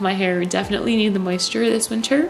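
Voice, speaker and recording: Music plays in the background as a woman of medium pitch speaks with ordinary pitch variation. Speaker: natural hair care vlogger. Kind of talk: casual tutorial talk to camera.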